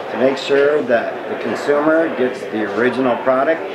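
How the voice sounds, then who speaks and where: There is loud background noise. A man talks at a fairly slow pace. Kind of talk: interview answer. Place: tent.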